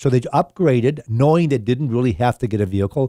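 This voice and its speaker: A man's medium-pitched voice with ordinary pitch variation, a dark, mellow tone and a very fast pace, dry and close with no echo, on a very clean recording with a silent background. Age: 60s. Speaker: used car dealer and radio show host. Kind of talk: radio talk show conversation. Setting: radio studio. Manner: conversational, with frequent fillers and restarts.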